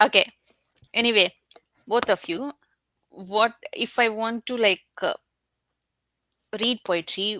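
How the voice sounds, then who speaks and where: A woman with an Indian accent, bright and sharp in tone, at a very slow pace with ordinary pitch variation, in a dry, close sound with no echo. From India, Telugu-speaking state. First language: Telugu. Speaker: book reviewer. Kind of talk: casual chat.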